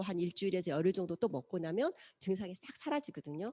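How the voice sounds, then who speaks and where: A woman's dark, mellow tone at a fairly quick pace, dry and close with no echo, on a very clean recording with a silent background. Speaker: lecturer on nutrition products. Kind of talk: lecture.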